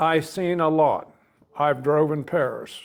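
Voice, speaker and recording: At a very slow pace, a man with a fairly high voice and a Midwestern US accent speaks with ordinary pitch variation. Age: 70s. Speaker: army veteran and hot-rod car enthusiast. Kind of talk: casual interview chat.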